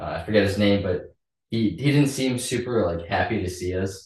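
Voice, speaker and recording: This man's voice is somewhat breathy. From Canada (Calgary). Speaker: young lay missionary. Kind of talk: casual group interview. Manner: halting with fillers.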